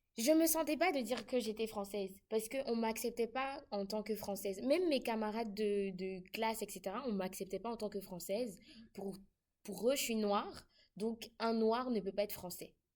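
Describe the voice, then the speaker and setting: A woman speaks at a moderate pace in a fairly high, normal speaking voice, with ordinary pitch variation. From Côte d'Ivoire. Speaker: international student. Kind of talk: casual chat.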